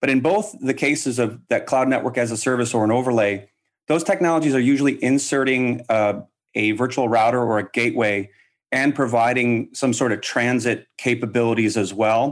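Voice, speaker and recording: A man with an ordinary speaking voice talks at a fairly quick pace and medium pitch, with ordinary pitch variation and very even loudness on a very clean recording with a silent background. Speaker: company representative, sponsor guest. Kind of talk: sales pitch.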